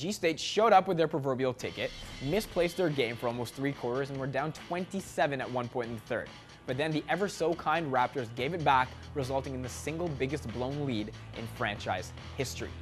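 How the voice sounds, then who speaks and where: Over music in the background, a man with a fairly high voice talks fairly quickly in an upbeat tone with lively intonation. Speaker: sports anchor. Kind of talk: sports news anchor demo reel, scripted TV delivery. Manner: upbeat, punny, polished.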